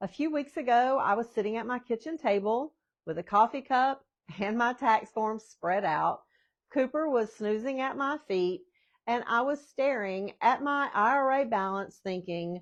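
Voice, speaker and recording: A normal speaking voice delivers lively intonation at a moderate pace. The background is quiet. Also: woman, fairly high pitch for a woman. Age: 60s. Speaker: retirement planning vlogger. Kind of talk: casual talk to camera about personal finance. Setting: home.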